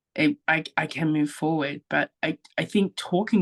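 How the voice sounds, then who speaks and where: A woman with an Australian accent, very deep and low in pitch, fairly slow, with ordinary pitch variation and a dry, close sound with no echo. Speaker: guest, social media creator. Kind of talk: casual chat.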